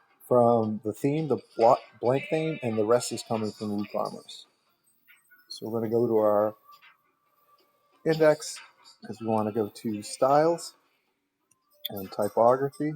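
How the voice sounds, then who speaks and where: Over music in the background, the speaker goes at a fairly slow pace with long, frequent pauses. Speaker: web design tutorial maker. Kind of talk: tutorial. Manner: casual.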